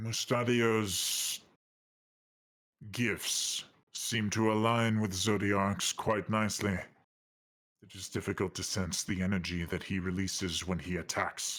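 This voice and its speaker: In a put-on character voice, the speaker moves at a fairly slow pace with long, frequent pauses, on a very clean recording with a silent background. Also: man, fairly low pitch for a man. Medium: actual play. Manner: formal, measured.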